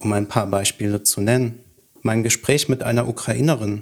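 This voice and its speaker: The voice is an ordinary speaking voice. It moves at a moderate pace. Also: man. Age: 30s. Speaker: freemason. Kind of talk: scripted dialogue.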